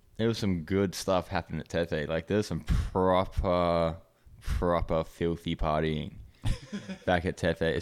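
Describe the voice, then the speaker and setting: A man speaks at a moderate pace with an Australian accent and a very deep, low pitch. The recording is very clean, with a silent background. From Hong Kong, international school English. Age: 20s. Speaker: downhill skateboarder. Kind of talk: casual chat.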